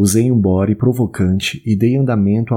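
The man has an unremarkable speaking voice, fairly low in pitch, with ordinary pitch variation and a moderate pace. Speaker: audiobook narrator. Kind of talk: dramatic literary narration, first-person confessional prose read aloud. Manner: intense, theatrical, emotionally charged, measured pauses.

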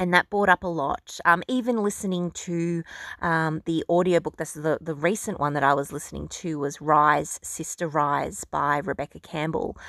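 A woman with an ordinary speaking voice and a fairly low pitch speaks with ordinary pitch variation and hardly any pauses, on a very clean recording with a silent background and a dry, close sound with no echo. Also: moderate pace. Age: 30s. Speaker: podcast host and beauty clinic owner. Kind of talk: solo podcast monologue on spiritual self-development. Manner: warm, conversational.

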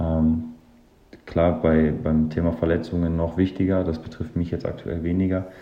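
A man speaks at a moderate pace in a very deep, low voice with monotone, flat intonation. There is noticeable background noise and audible room echo. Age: 30s. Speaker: professional football goalkeeper. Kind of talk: interview. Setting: remote recording from home.

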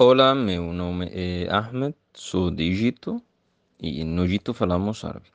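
A man with an Arabic accent speaks at a fairly slow pace in a very deep, low pitch with ordinary pitch variation. The sound is dry and close, with no echo. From Egypt. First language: Arabic (speaking Portuguese). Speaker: Portuguese language student. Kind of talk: presentation. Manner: halting.

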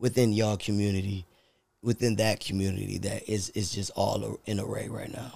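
A man's fairly low, dark, mellow voice in monotone, flat intonation at a moderate pace. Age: 30s. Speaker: podcast co-host. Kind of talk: casual chat.

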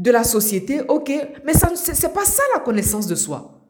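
At a fairly slow pace, a woman talks with very wide pitch swings. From Côte d'Ivoire, Abidjan. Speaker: life coach podcaster. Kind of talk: motivational monologue. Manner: halting, repeats words.

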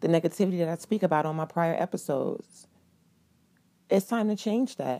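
Lively intonation marks this woman's fairly low pitch as she moves at a fairly quick pace. The sound is dry and close, with no echo. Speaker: podcast host. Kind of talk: motivational solo monologue; warm pep talk cheering on struggling listeners. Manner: encouraging, affectionate, addresses listener as boo; casual, slangy, conversational.

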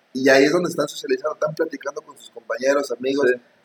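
The sound is dry and close with no echo as a man speaks at a very fast pace. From Mexico. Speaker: podcast co-host. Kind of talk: casual chat.

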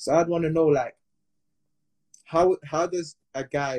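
In a British accent, a man speaks with a dark, mellow, somewhat breathy tone in a dry, close sound with no echo. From England. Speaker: podcast host. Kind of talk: casual chat. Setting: Instagram live.

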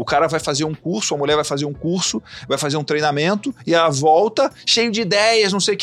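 This man's high-pitched voice rises and falls with lively intonation. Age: 40s. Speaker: agribusiness entrepreneur. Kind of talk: podcast interview.

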